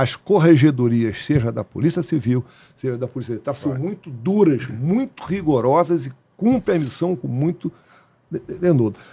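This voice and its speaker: Fairly high-pitched, somewhat breathy male speech at a moderate pace, with lively intonation. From Brazil, Rio de Janeiro. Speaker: retired police colonel; guest. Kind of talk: interview storytelling. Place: studio. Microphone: studio mic.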